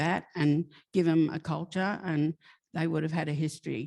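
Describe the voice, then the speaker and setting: Against a quiet background, a woman with an Australian accent speaks at a very deep, low pitch. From New South Wales, Australia. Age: 70s. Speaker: author. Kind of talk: interview. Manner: halting.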